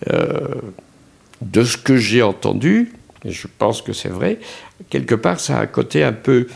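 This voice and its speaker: A man's medium-pitched voice with vocal fry, very wide pitch swings, and long, frequent pauses. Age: 70s. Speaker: second-home owner. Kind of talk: interview.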